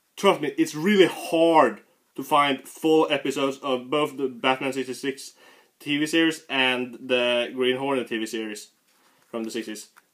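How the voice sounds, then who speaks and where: A man talks at a moderate pace and medium pitch. His pitch varies in an ordinary way. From Sweden. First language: Swedish. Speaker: comic book reviewer. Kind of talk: casual review video. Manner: halting.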